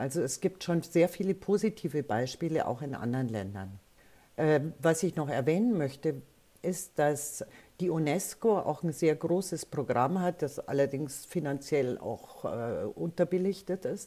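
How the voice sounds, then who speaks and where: A woman's very deep, low voice in a dark, mellow tone, lively in intonation and fairly slow in pace. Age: 70s. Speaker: media educator. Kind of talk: interview.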